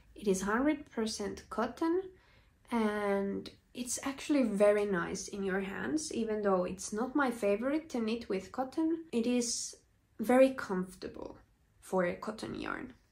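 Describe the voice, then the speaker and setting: A woman with a fairly high pitch speaks fairly slowly, somewhat breathy, with lively intonation. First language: Finnish. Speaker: knitting podcaster. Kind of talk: casual video podcast chat.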